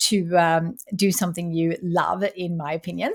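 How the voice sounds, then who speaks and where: A somewhat breathy woman is heard on a very clean recording with a silent background. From Sweden. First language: Swedish. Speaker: entrepreneur and author. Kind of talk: interview.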